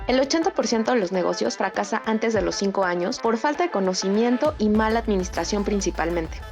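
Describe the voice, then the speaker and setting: Music plays behind a woman who talks at a very fast pace with hardly any pauses, lively intonation and very even loudness. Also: medium pitch for a woman. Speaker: podcast host. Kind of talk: podcast host intro and interview questions.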